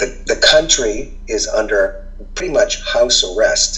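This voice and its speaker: The speaker has an American accent. Music plays in the background. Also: man. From Boston. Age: 60s. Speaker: journalist. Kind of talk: casual chat.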